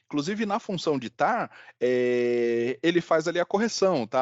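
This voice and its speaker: This man speaks at a moderate pace. His pitch swings very widely. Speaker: software trainer. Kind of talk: online workshop demonstration. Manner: hesitant, repeats words.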